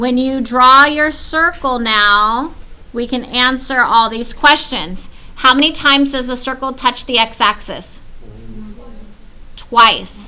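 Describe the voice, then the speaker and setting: A woman's raised, projected voice at high pitch, very slow in pace, with ordinary pitch variation and audible room echo. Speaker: high school math teacher. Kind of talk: classroom lecture.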